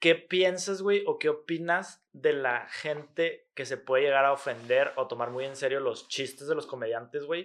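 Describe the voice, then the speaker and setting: In a normal speaking voice, a man speaks at a fairly high pitch and fairly slow pace with hardly any pauses and ordinary pitch variation, over a quiet background. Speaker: podcast host. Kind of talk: casual chat.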